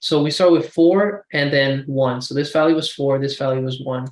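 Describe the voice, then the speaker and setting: This man has an ordinary speaking voice, a fairly high pitch and fairly even intonation, and he talks at a moderate pace. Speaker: student tutor. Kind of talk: tutorial.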